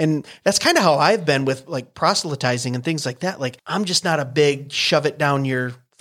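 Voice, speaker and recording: Hardly pausing at all, a man talks at a fairly high pitch. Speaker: podcast host. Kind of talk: casual chat. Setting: studio. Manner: fast.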